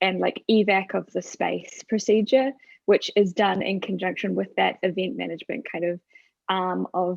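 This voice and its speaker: A woman speaks at a moderate pace with a New Zealand accent. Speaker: stage manager. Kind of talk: panel discussion.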